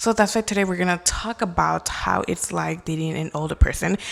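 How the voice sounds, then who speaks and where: Over noticeable background noise, a woman talks at a fairly quick pace. Her tone is animated. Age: 20s. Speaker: podcast host. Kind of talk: casual chat. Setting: bedroom at home.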